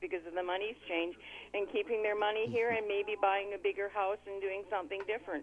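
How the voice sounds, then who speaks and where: Here is a woman with an ordinary speaking voice, pitched in the medium range. She keeps a fairly quick pace and fairly even intonation. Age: 60s. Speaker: radio caller. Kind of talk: call-in radio chat. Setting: phone call.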